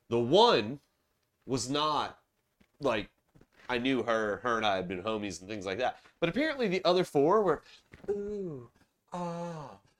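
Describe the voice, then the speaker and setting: A man with a slight Southern US accent and medium pitch, very wide pitch swings, a fairly slow pace and long, frequent pauses. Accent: general American, little Southern. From Charleston, South Carolina. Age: 30s. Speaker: podcast host. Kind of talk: casual chat. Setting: home recording, beer drinking. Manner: casual, profane.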